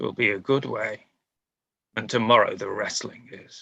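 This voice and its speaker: In a raspy, put-on character voice, a man talks at a moderate pace with big swings in loudness. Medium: stage play. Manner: cold, haughty.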